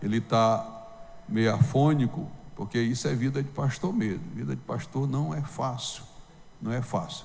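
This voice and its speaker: A man talks at a fairly slow pace. The room echo is audible. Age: 70s. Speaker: pastor. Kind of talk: sermon.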